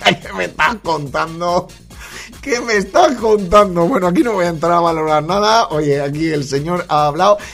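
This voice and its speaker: A high-pitched man talks in an animated tone at a moderate pace. His pitch varies in an ordinary way, with music in the background. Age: 40s. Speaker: podcast host. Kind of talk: casual comedic monologue. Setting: home studio at computer.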